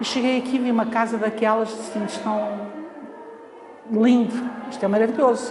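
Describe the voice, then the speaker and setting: Amid noticeable background noise and audible room echo, a woman speaks at a fairly high pitch in a monotone, flat intonation. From Portugal, Lisbon. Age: 60s. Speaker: foundation library staff. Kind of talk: oral history interview. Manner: hesitant, many fillers.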